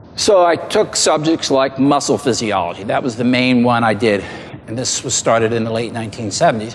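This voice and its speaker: Noticeable background noise sits behind a man's medium-pitched voice. He moves at a fairly quick pace with ordinary pitch variation. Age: 60s. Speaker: diet and exercise researcher. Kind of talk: seminar talk.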